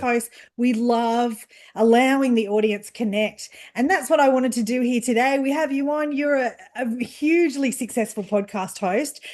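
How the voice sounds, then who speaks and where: A woman's high-pitched voice against a quiet background. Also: ordinary pitch variation, moderate pace. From Australia. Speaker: podcast host, interviewer. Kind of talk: interview question.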